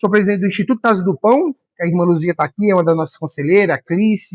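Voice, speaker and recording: With a high pitch, a man talks at a very fast pace in a dry, close sound with no echo. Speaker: pastor and teacher. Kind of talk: lecture.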